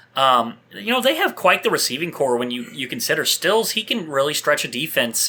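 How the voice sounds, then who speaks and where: The pace is fairly quick. Noticeable background noise runs beneath the speech. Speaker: fantasy football podcast host. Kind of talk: casual sports chat.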